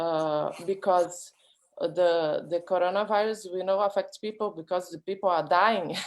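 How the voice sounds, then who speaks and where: Speaking very slowly in a Brazilian accent, a woman keeps a medium pitch and fairly even intonation. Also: very clean recording, silent background. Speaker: artist. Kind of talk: panel discussion. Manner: halting.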